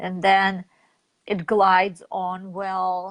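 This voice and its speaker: A woman speaks with a Russian accent. Her pitch sits in the medium range against a quiet background. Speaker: network marketing leader. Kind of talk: interview.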